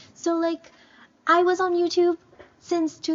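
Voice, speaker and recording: A woman with a non-native accent speaks very slowly. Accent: non-native English, self-described imperfect. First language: not English (bilingual). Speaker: YouTuber. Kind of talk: casual chat.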